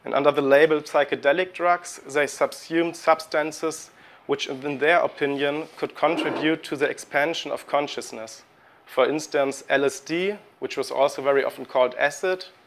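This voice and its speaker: Speaking at a moderate pace, a man with a German accent has a fairly high pitch. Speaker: postdoctoral historian. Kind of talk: academic lecture. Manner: halting, with hesitations.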